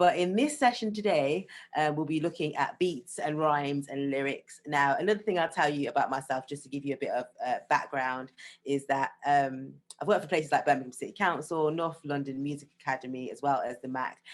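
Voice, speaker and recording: Speaking at a fairly quick pace, a woman uses a very deep, low pitch with ordinary pitch variation against a quiet background. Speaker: music workshop leader. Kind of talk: online workshop talk. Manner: fast.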